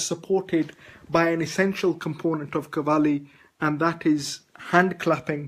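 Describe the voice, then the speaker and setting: A man with a Punjabi accent and a high pitch, fairly slow, with fairly even intonation. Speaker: vlogger. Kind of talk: video blog talk. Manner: halting. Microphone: poor internet connection.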